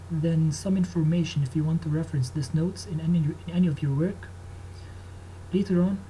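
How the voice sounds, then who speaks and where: In an Egyptian accent, a man with a dark, mellow tone and fairly high pitch speaks at a moderate pace with lively intonation. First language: Arabic. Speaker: engineering student. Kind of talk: tutorial. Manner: halting.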